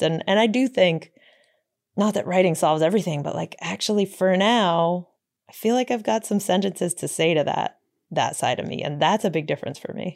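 A woman with a fairly low pitch speaks at a fairly quick pace with lively intonation, on a very clean recording with a silent background. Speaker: radio reporter and author. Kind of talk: interview. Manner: cheerful-sounding.

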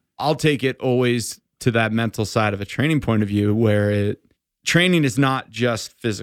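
In a very clean recording with a silent background, a man uses a normal speaking voice of medium pitch, ordinary pitch variation and a moderate pace. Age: 40s. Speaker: endurance coach. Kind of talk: casual chat. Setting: studio.

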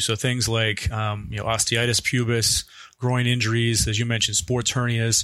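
A man with a normal speaking voice talks at a fairly quick pace, his medium pitch carried on fairly even intonation. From Canada. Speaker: orthopedic surgeon. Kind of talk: interview.

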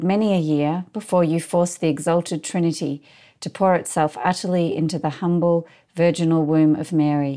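The voice has a dark, mellow tone and fairly even intonation at a moderate pace. It comes through on a very clean recording with a silent background. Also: woman. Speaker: podcast co-host interviewer. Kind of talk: contemplative dialogue.

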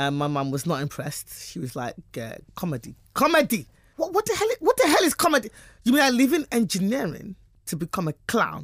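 A woman of medium pitch talks fairly quickly with vocal fry, her pitch swinging very widely. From England. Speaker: stand-up comedian. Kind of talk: interview. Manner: fast.

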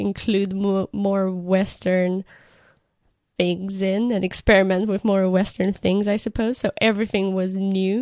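Speaking at a fairly slow pace with a Romanian accent, a woman's medium-pitched voice sounds dry and close with no echo. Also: very clean recording, silent background. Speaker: art director. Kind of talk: casual chat. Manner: giggly.

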